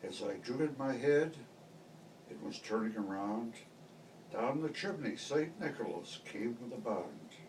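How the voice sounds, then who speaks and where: There is noticeable background noise as a man talks in a fairly high pitch. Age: 70s. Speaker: grandfather. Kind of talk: poetry reading to family.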